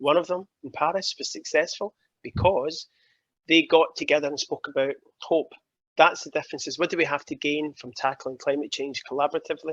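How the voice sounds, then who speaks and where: A man with a Glaswegian accent at a fairly quick pace, big swings in loudness, dry, close sound with no echo. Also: quiet background. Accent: Glaswegian Scottish. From Scotland, Glasgow. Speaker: keynote speaker on climate policy. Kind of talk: interview talk at online summit. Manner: animated.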